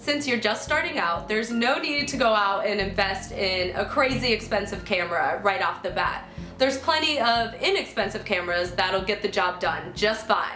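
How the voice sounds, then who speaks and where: Faint music plays in the background as the speech moves at a moderate pace with hardly any pauses, in audible room echo. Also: woman. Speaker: video host. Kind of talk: tutorial. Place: home room.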